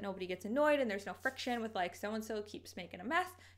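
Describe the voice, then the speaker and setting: Against noticeable background noise, a woman with a fairly high pitch talks at a very fast pace. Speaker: lifestyle vlogger. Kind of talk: casual advice vlog.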